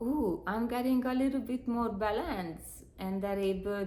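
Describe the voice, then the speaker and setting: With audible room echo, a woman in a non-native accent speaks with lively intonation. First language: not English. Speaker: spiritual healer. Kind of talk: spiritual talk to a live audience. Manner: halting, many fillers.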